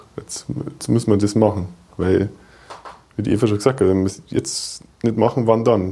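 A man's fairly low voice at a moderate pace, with ordinary pitch variation, big swings in loudness and long, frequent pauses. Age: 30s. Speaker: software developer and children's author. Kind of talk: casual interview.

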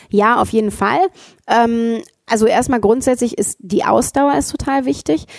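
A woman with an ordinary speaking voice at a moderate pace, ordinary pitch variation, a dry, close sound with no echo, and a very clean recording with a silent background. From Ruhrgebiet, Germany. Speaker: actress and founder. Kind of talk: casual interview.

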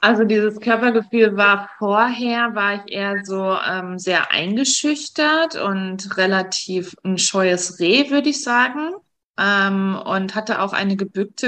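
A woman with a medium pitch and a bright, sharp tone talks at a very slow pace, her pitch varying in an ordinary way. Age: 40s. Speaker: breast cancer survivor. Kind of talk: interview.

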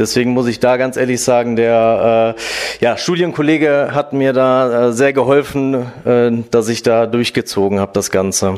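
Noticeable background noise sits behind a man speaking at a fairly slow pace. His loudness is very even and his intonation fairly even. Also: medium pitch for a man. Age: 30s. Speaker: office worker in human resources. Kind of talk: interview. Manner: hesitant with many fillers.

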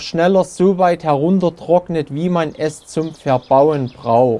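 A man's fairly high-pitched voice with a dark, mellow tone, ordinary pitch variation and a very slow pace. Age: 40s. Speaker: forester. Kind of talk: interview.

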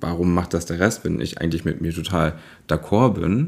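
A very deep, low-pitched man speaks with fairly even intonation. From rural Germany, small village. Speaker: drag artist. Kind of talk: interview.

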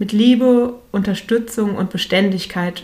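A woman speaks at a moderate pace with fairly even intonation. Her voice is somewhat breathy. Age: 40s. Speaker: parenting coach podcaster. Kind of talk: solo podcast monologue.

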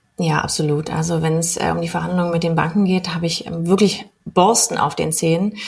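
A woman with a normal speaking voice talks fairly quickly at a fairly low pitch, her intonation fairly even and hardly any pauses between words. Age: 30s. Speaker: mortgage broker. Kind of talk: podcast interview.

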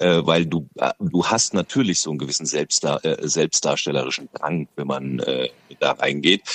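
A man at a moderate pace, with very wide pitch swings and vocal fry, in a dry, close sound with no echo. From Lower Franconia, Bavaria (Schöllkrippen, near Aschaffenburg). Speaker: radio host and comedian. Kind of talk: casual interview.

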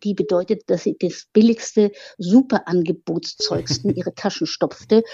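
A woman with a medium pitch and a somewhat breathy voice speaks at a fairly slow pace with lively intonation. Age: old. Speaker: biographer, author. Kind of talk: interview conversation.

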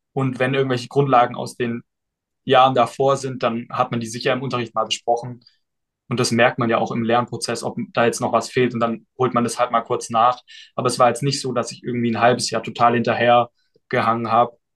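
At a fairly quick pace, a man speaks at a medium pitch in a monotone, flat intonation. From southwestern Germany (Baden-Württemberg). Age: 20s. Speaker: student and study-tips influencer. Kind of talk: casual interview.

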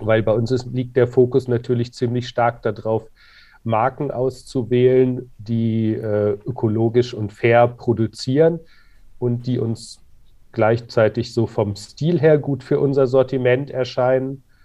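This man speaks at a very slow pace and a medium pitch. His intonation stays fairly even. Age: 40s. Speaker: clothing company co-founder. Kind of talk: interview. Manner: hesitant, many fillers.

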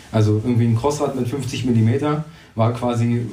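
There is audible room echo. A man talks at a medium pitch. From Brandenburg, Germany. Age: 20s. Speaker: race organiser. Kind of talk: interview.

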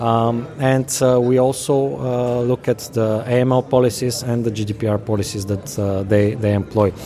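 A man with a Bulgarian accent, medium pitch, moderate pace and fairly even intonation, over noticeable background noise. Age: 30s. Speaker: company CEO and founder. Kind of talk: interview. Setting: conference venue. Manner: halting.

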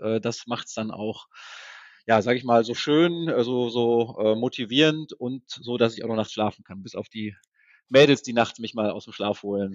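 A man speaks at a moderate pace. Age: 40s. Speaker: software entrepreneur. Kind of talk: interview. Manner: hesitant, many fillers.

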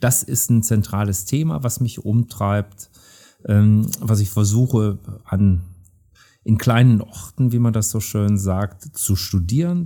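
The voice is dark and mellow, somewhat breathy and very slow, with ordinary pitch variation, in a very clean recording with a silent background. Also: man, fairly low pitch for a man. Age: 60s. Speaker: professor of anthropology. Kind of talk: interview.

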